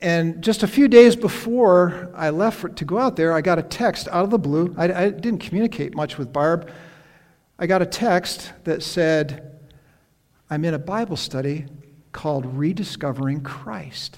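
A high-pitched man with an American accent, lively intonation and a moderate pace. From upstate New York. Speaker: retired pastor. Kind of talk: sermon. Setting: church. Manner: halting.

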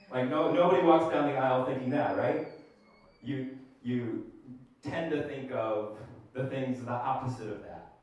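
With long, frequent pauses at a moderate pace, the speech has big swings in loudness and ordinary pitch variation, while audible room echo and noticeable background noise come through. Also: man, medium pitch for a man. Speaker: pastor. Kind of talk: sermon. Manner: hesitant with frequent fillers.

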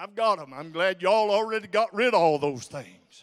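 A man speaks with a high pitch and lively intonation. His pace is moderate. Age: 70s. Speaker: visiting preacher. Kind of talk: sermon. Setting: church.

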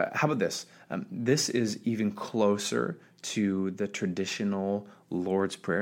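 An ordinary speaking voice with ordinary pitch variation, in a very clean recording with a silent background. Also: man. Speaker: pastor. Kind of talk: sermon podcast, talking directly to listener. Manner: casual, conversational, informal.

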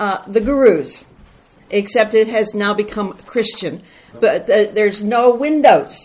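Very slowly, a woman speaks at a fairly high pitch with ordinary pitch variation. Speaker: church member reporting on mission trip. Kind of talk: testimony. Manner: loud.

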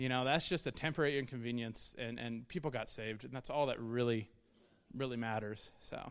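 A man at medium pitch talks at a fairly quick pace with fairly even intonation. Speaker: church member on missions team. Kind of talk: church testimony talk. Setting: church service. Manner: fast.

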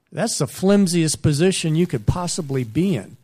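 A man's somewhat breathy voice comes through on a very clean recording with a silent background. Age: 50s. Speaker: missionary. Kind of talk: sermon.

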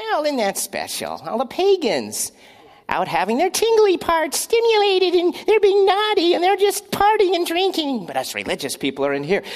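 A female-sounding put-on character voice pitched extremely high for a woman. She talks at a moderate pace. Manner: judgmental, mockingly sweet.

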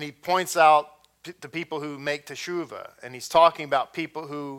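The speech moves at a fairly quick pace in an animated tone. It comes in a Texan accent. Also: man, very clean recording, silent background. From Texas. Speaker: messianic congregation teacher. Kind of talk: sermon. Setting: congregation.

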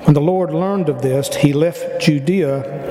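With fairly even intonation and a fairly high pitch, a man speaks at a fairly slow pace against noticeable background noise. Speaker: church member. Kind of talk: reading aloud. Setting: church.

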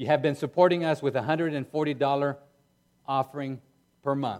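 A man talks with pitch that varies in an ordinary way. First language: not English. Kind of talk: sermon. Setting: church.

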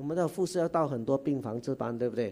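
This is a man's voice. It has a dark, mellow tone. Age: 60s. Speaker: guest preacher. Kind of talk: sermon. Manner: animated.

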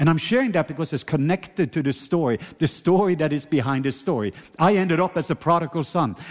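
Speaking at a very fast pace with a Norwegian accent, a man sounds animated, his pitch fairly high. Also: lively intonation. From Norway. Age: 50s. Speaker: preacher. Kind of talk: sermon. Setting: church.

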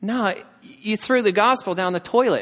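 A man talks with an American accent. His pace is moderate and his pitch variation ordinary. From United States. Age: 20s. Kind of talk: sermon. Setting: church.

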